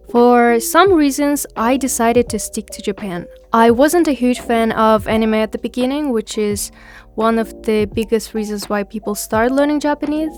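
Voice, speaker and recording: A woman with a Kyrgyz accent, fairly high pitch, ordinary pitch variation and a moderate pace, with music in the background. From Kyrgyzstan. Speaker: podcast host, language learner. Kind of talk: podcast monologue.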